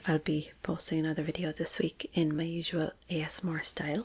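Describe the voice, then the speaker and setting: A soft-spoken voice talks in an Irish accent. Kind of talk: ASMR educational talk to camera.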